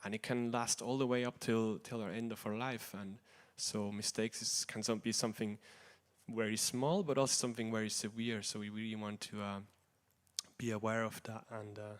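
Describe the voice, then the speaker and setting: A man speaks at a fairly quick pace in a flat, monotone delivery at medium pitch, on a very clean recording with a silent background. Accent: non-native. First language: not English. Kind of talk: religious class talk. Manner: halting, many fillers.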